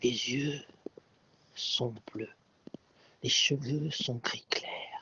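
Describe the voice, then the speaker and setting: A man whispering at a very slow pace. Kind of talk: sleep story. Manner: whispered.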